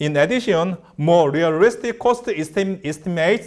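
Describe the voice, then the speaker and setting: Moderate pace and ordinary pitch variation in a Korean accent, on a very clean recording with a silent background. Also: man. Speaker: researcher giving a lecture. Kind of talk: lecture. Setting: lecture hall. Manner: halting.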